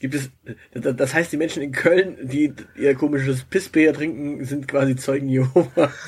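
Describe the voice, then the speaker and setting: A man speaks in a fairly high voice that is somewhat breathy. His intonation stays fairly even. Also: moderate pace. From southern Germany, Swabia. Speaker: podcast co-host. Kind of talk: casual chat.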